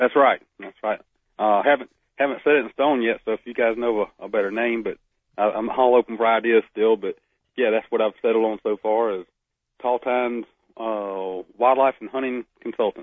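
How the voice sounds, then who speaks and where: Fairly even intonation at a moderate pace. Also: man, medium pitch for a man. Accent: Southern US. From Northeast Florida. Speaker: wildlife biologist. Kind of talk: casual radio interview. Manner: halting, many repetitions.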